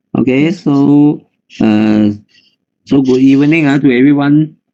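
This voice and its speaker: A man with a Malaysian accent speaks at a fairly slow pace. His pitch is fairly high and his intonation fairly even. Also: long, frequent pauses, very even loudness. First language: Chinese. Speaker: nutritionist and health consultant. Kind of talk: health talk.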